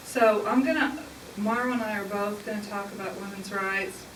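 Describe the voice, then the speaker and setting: With a Southern US accent, a woman talks at a moderate pace and medium pitch, amid audible room echo and noticeable background noise. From southern Indiana, US. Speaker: public speaker on religion. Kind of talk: public talk.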